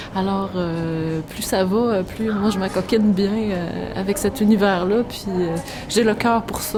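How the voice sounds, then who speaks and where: Amid noticeable background noise, a woman speaks very slowly at a medium pitch. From Quebec City. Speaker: storyteller. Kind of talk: interview answer.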